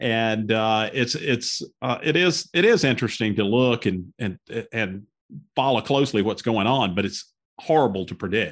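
A man with a Southern US accent talks at a moderate pace. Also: medium pitch for a man, ordinary pitch variation. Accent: Southern American. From US South, northwest Georgia (Cedartown). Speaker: lawyer, podcast co-host. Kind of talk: casual interview chat. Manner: halting, many fillers.

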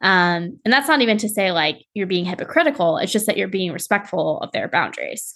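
A woman speaks fairly quickly in a plain, everyday voice at medium pitch, with hardly any pauses. Her intonation is lively. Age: 20s. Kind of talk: casual chat.

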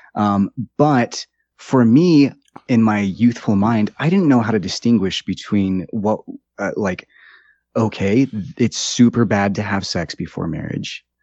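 A man with an American accent and an unremarkable speaking voice talks at a medium pitch. His pace is fairly slow, with ordinary pitch variation. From US. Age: 30s. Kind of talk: casual chat. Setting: studio.

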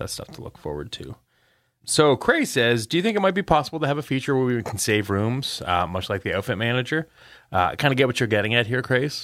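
Recorded very cleanly against a silent background, this voice with a slight Canadian accent races along at a very fast pace, its loudness swinging widely and its pitch leaping across a very wide range. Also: man, medium pitch for a man. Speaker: game developer podcast co-host. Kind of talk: casual chat. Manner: animated.

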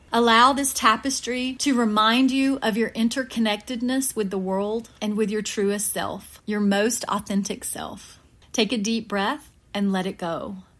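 A woman speaks in a plain, everyday voice, fairly high in pitch and fairly slow, with fairly even intonation on a very clean recording with a silent background. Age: middle-aged. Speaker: podcast host. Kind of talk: guided meditation. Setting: studio. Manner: soothing, calm; slow, gentle pacing.

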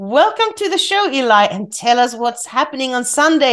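A woman with a Swedish accent speaks at a moderate pace in a high pitch. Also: quiet background. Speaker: podcast host. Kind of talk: interview. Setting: remote call.

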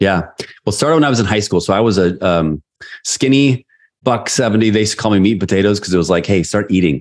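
A man with a fairly low voice talks very fast at a very even loudness. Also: ordinary pitch variation. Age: 40s. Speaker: sales leader and leadership coach. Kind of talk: interview.

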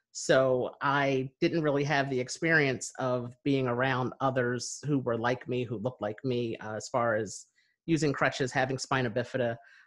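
A man with an American accent has a plain, everyday voice at a medium pitch. His pace is moderate, his intonation fairly even, and the background quiet. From US Northeast, New Jersey near Philadelphia. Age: 30s. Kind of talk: casual interview conversation. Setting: video call.

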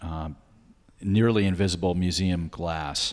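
A man speaks with a very deep, low pitch. His pitch moves in an ordinary way. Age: 60s. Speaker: art gallery owner. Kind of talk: interview conversation.

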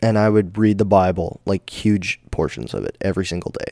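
Talking at a fairly quick pace, a man has an ordinary speaking voice with a fairly low pitch. The sound is dry and close with no echo. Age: 20s. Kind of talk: solo devotional talk. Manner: casual, filler-heavy.

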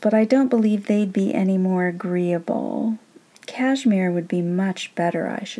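Natural voice, reading a text aloud

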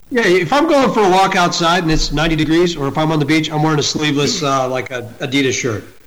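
This man's voice sits fairly high and races along at a very fast pace. Noticeable background noise runs behind him. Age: 40s. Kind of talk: casual chat.

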